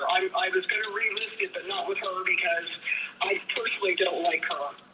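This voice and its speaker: Noticeable background noise runs behind this clip. A woman with an American accent speaks at a fairly quick pace. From Pennsylvania. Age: 70s. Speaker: property seller. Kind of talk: live sales call.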